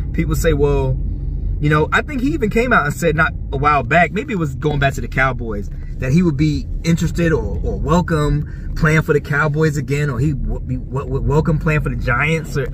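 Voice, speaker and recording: Over noticeable background noise, a man speaks at a fairly quick pace in a dry sound with no echo. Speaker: sports fan vlogger. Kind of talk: casual vlog chat. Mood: amused, incredulous. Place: car. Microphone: phone near.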